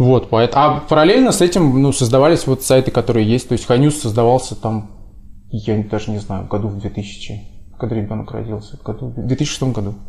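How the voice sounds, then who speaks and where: A somewhat breathy man speaks at a medium pitch. His pitch variation is ordinary. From Russia. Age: 30s. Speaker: website founder and entrepreneur. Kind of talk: podcast interview.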